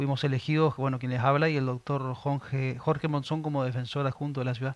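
At a moderate pace, a man speaks in a monotone, flat voice, with a dry sound and no echo. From Argentina, Resistencia (Chaco); Chaco, Argentina. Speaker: municipal ombudsman; public interviewee. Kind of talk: interview; interview answer. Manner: halting, many fillers. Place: studio. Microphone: headset.

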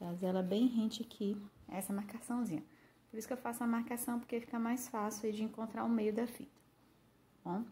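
Somewhat breathy and dark, mellow in tone, a woman speaks at a fairly high pitch with fairly even intonation. Her pace is fairly quick, broken by long, frequent pauses. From Brazil. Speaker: craft tutorial youtuber; craft tutor. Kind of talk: tutorial. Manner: casual, warm, with many diminutives. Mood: calm, friendly.

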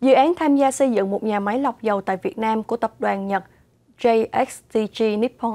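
A woman speaks in a dark, mellow tone with ordinary pitch variation. Her pace is moderate. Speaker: news anchor. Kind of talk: news reading. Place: studio. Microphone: lapel.

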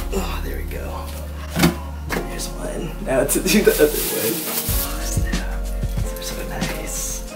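A man talks at a very slow pace with long, frequent pauses. Music is clearly heard in the background. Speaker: YouTuber unboxing sneakers. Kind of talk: casual unboxing talk to camera. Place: home room.

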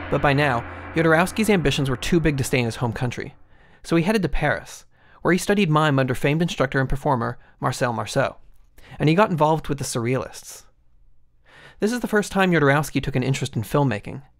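The speech comes at a very fast pace. The background is quiet. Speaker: video essay narrator. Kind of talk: documentary narration.

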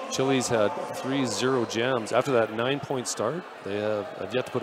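Over noticeable background noise, a man speaks at a moderate pace with a medium pitch. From Canada, Vancouver. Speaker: sports commentator. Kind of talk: live commentary. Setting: arena, live event. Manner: animated.

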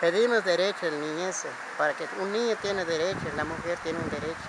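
Over loud background noise, a man speaks at a moderate pace with ordinary pitch variation, the sound dry with no echo. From Guatemala. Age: 60s. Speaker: Mayan spiritual guide; spiritual guide. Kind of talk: testimony; interview answer. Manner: halting. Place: open country.

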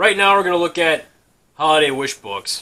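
A man keeps a fairly quick pace, his pitch varying in an ordinary way. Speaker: video host. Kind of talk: casual vlog chat. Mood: nostalgic, jokey, casual swearing. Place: home room. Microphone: webcam.

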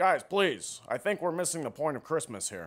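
A put-on character voice on a very clean recording with a silent background. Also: man, fairly high pitch for a man, moderate pace. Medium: comedy sketch. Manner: mild, whiny.

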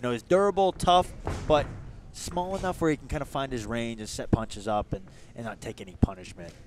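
Fairly quick speech over background music, with a dry sound and no echo. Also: man. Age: 20s. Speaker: boxing commentator, active professional boxer. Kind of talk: live fight commentary. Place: hall.

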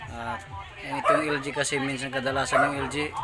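A man talks at a fairly slow pace over loud background music. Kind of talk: casual repair tutorial. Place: workshop. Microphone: phone near.

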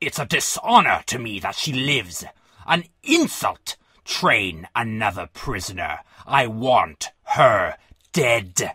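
A man's put-on character voice, slow with few pauses, fairly low in pitch, bright and sharp in tone with a slightly husky edge, and big pitch swings.

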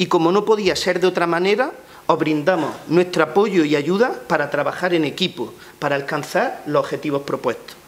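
A man with lively intonation at a moderate pace. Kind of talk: press conference statement. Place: meeting room. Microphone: podium.

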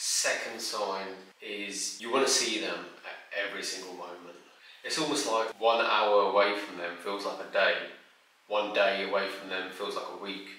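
A man's fairly low voice at a moderate pace, with fairly even intonation and audible room echo. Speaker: relationship advice creator. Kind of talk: advice talk to camera. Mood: calm, warm, earnest. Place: home room.

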